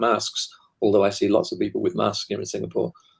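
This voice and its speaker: A man speaks with a British accent. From Britain. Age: 70s. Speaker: author and guest expert. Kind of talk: casual panel discussion.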